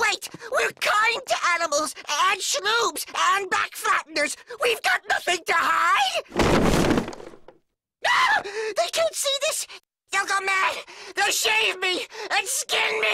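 This cartoonish character voice sits at an extremely high pitch, going fairly slowly with long, frequent pauses. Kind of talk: cartoon comic acting. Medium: comedy sketch. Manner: meek, dry, then panicky.

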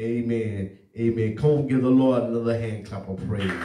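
A man is speaking. Room echo is audible. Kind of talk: sermon. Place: church.

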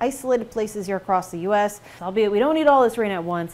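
A woman speaks very fast in a fairly high voice, her intonation lively. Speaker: broadcast meteorologist. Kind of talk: weather forecast reel. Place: studio. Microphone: lapel.

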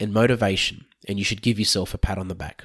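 A man with an Australian accent, in a dry, close sound with no echo, on a very clean recording with a silent background. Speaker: financial adviser. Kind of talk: podcast introduction.

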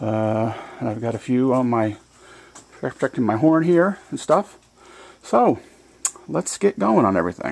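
A man is speaking. He takes a fairly slow pace. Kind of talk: casual vlog chat. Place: garage. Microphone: phone near.

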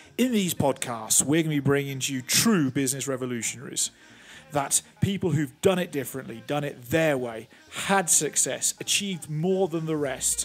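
A man keeps a moderate pace as music sounds in the background. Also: fairly high pitch for a man, ordinary pitch variation. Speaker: podcast host. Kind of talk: podcast intro.

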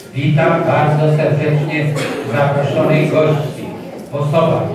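A man talks at a very slow pace amid noticeable background noise and strong room echo. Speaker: council session chairman. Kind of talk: formal meeting opening and greetings. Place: hall. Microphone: camera far.

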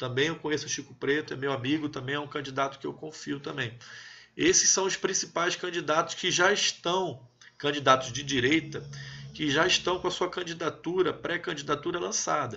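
Vocal fry marks a man's fairly high-pitched voice, which moves at a moderate pace with ordinary pitch variation. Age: 30s. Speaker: army officer and political commentator. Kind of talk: live stream chat with viewers.

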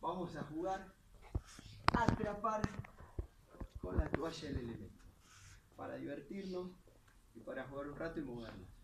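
At a moderate pace, a man with a high pitch speaks amid light background noise and audible room echo. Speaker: physical education teacher. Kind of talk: tutorial. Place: garden. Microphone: phone near.

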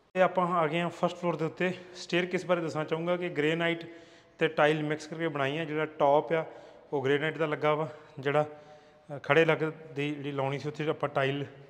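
A man speaks at a fairly quick pace. His fairly high pitch barely rises or falls.

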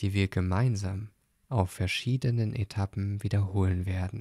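A calm, soothing, somewhat breathy voice at a fairly slow pace with fairly even intonation, in a very clean recording with a silent background. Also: man. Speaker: podcast host and meditation guide. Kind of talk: guided meditation. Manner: calm, slow, soothing; gentle, soft-spoken.

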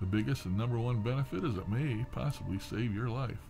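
A man's fairly low voice at a fairly quick pace, ordinary pitch variation, clear music in the background. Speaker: vlogger. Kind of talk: casual vlog chat. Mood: opinionated, ranting about politicians. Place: home room.

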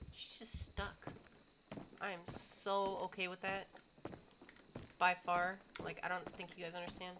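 Amid noticeable background noise, a woman with an American accent speaks fairly slowly at a medium pitch, taking long, frequent pauses. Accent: American accent, noticed by viewers. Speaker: gaming streamer. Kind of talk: live gameplay stream commentary. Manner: animated.

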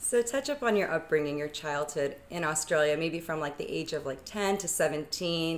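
A woman with a normal speaking voice, fairly low-pitched, ordinary pitch variation, moderate pace and hardly any pauses. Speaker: youth ministry volunteer and interviewer. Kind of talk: interview. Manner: formal.

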